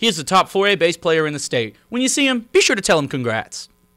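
Very wide pitch swings from a man with a bright, sharp tone, a fairly quick pace and a quiet background. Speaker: student announcer. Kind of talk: school announcements. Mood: upbeat, playful. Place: studio. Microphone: handheld.

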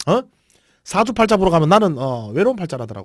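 A man with a Gyeongsang accent talks at a fairly quick pace, somewhat breathy, his pitch swinging very widely. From South Korea, Busan. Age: 40s. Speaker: internet broadcaster. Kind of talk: casual drinking livestream. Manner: rambling, informal.

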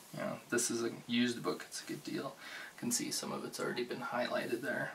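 Over noticeable background noise, a man speaks in a soft-spoken way. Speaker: bookstore cashier role play. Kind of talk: ASMR roleplay. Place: home room. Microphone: studio mic.

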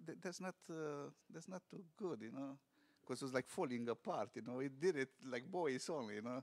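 A man with a Romanian accent, fairly high pitch, lively intonation and a moderate pace. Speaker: restaurant owner. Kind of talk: interview. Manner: halting. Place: studio. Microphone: studio mic.

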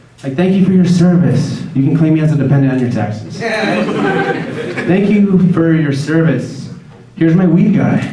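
Noticeable background noise and audible room echo around a male speaker. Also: moderate pace. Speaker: stand-up comedian. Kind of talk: stand-up comedy routine. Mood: wry, crude humor. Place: stage.

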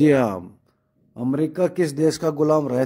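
Talking at a fairly slow pace, a man has a dark, mellow tone. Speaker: quiz video host. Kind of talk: quiz presentation.

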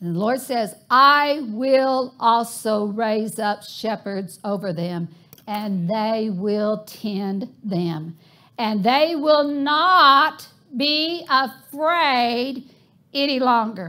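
Against a quiet background, a woman talks at a very slow pace in a bright, sharp tone. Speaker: preacher. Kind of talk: sermon. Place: church.

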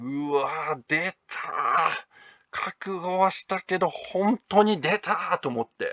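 In a dry, close sound with no echo, this man talks very slowly. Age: 30s. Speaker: manga artist and video blogger. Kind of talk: casual monologue vlog. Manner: casual, hesitant with many fillers.

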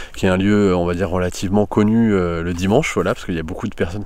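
A man talks at a very fast pace with a very deep, low pitch and fairly even intonation. The sound is dry with no echo. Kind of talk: tutorial. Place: forest. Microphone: phone near.

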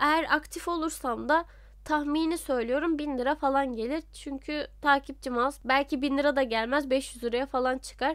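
On a very clean recording with a silent background, a woman with a high voice speaks at a moderate pace with fairly even intonation. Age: 20s. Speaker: voice actor and YouTuber. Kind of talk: casual Q&A vlog.

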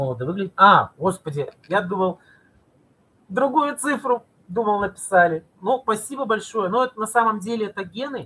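A man with a high pitch for a man speaks at a moderate pace in a raised, projected voice, with lively intonation and a bright, sharp tone. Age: 40s. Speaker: video blogger and cosmetics sales representative; video blogger, cosmetics sales representative. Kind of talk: live stream talk to viewers. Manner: animated; halting. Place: home room. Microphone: webcam.

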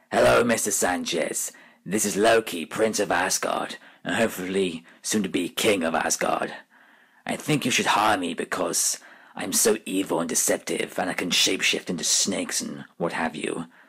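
A man speaks in a put-on character voice at a fairly low pitch and a moderate pace. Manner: smug, theatrical.

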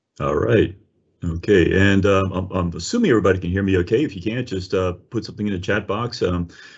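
A man with a fairly low, somewhat breathy voice talks at a fairly quick pace with fairly even intonation over a quiet background. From New Orleans. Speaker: winery executive and wine educator. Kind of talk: webinar presentation. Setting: video call. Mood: warm, enthusiastic. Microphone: video call.

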